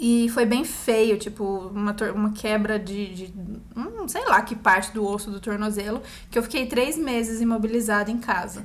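Amid noticeable background noise and audible room echo, a woman with a fairly high pitch speaks with fairly even intonation and big swings in loudness. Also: moderate pace. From Brazil, Campinas. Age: 30s. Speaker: actress. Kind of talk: casual chat. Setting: recording at home.

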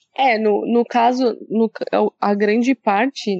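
This is a woman with a São Paulo accent. Her voice is fairly high-pitched. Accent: paulista. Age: 30s. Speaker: podcast host. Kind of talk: casual chat.

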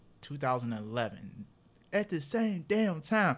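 Captured in a very clean recording with a silent background, a man speaks with very wide pitch swings. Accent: American. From Cleveland, Ohio. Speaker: podcast host. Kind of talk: casual chat.

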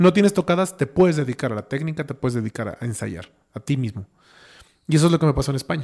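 Somewhat breathy and fairly high-pitched, a man with a Mexican accent talks very fast with lively intonation. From Mexico, Oaxaca. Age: 30s. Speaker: musician, pianist. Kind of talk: casual chat.

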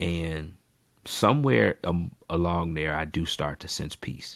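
A soft-spoken man's very deep, low voice with vocal fry and ordinary pitch variation on a very clean recording with a silent background. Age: 30s. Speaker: pastor. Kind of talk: interview.

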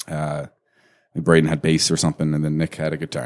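This is a man talking. His pitch is very deep and low. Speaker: podcast co-host; company owner, mortgage business. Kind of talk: casual banter over beers.

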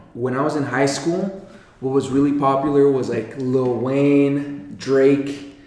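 A man with an American accent speaks in a fairly high pitch and a monotone, flat delivery over noticeable background noise. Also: fairly slow pace. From Colorado, US. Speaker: podcast co-host and youth mentor. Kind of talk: casual chat. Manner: laughs often.

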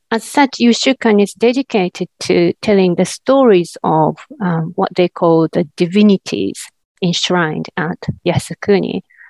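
Recorded dry and close with no echo, a woman with a Japanese accent talks at a fairly slow pace with ordinary pitch variation. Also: medium pitch for a woman. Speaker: academic researcher. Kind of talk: interview. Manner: halting with fillers.

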